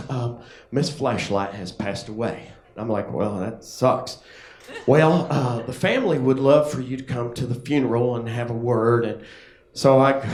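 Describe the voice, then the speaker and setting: A man speaks at a moderate pace in a medium pitch with ordinary pitch variation. Noticeable background noise can be heard. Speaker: stand-up comedian. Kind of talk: stand-up comedy set to a live audience. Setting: live comedy club. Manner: casual, conversational storytelling.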